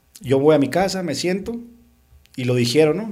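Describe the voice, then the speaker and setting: In an unremarkable speaking voice, a man talks at a moderate pace with lively intonation. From Sonora, Mexico (Caborca), raised in Tucson from age 12. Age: 30s. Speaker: radio and TV presenter. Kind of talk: casual chat.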